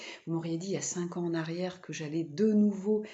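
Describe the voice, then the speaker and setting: Somewhat breathy and medium in pitch, a woman talks at a fairly quick pace. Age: 40s. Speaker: vlogger and spiritual therapist. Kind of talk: personal vlog monologue. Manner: halting, many fillers.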